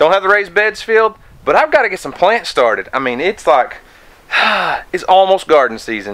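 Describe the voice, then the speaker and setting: This man talks at a very fast pace. His pitch swings very widely. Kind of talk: casual vlog chat. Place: garden. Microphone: phone near.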